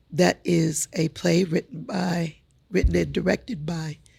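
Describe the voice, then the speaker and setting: A woman with vocal fry speaks at a very slow pace in a fairly low pitch, her pitch varying in an ordinary way, with a dry, close sound that has no echo. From US Midwest, North Omaha, Nebraska. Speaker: newspaper CEO. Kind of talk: interview.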